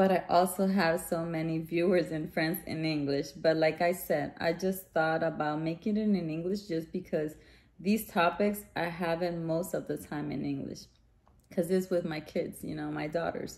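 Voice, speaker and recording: A woman's fairly low voice with a Spanish accent, fairly even intonation and a moderate pace. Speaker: vlogger, mother. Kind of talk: casual chat. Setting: outdoors. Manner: casual, halting with fillers.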